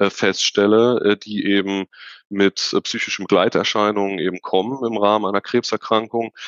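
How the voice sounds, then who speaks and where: An ordinary speaking voice from a man, pitched fairly low, at a fairly quick pace. His intonation stays fairly even. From Germany, Unna (Ruhr area / Sauerland border). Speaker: hypnotherapist, psychotherapy practitioner. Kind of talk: interview conversation.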